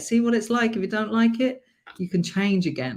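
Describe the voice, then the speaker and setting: Animated tone with a British accent. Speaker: life coach. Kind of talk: live stream motivational talk. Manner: loud.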